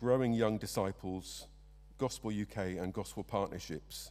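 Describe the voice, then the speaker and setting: A man speaks with an English accent at a fairly slow pace. His dark, mellow voice sits fairly low, with fairly even intonation. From England. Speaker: church member. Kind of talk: led prayer. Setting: church. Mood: solemn, calm. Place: church. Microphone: podium.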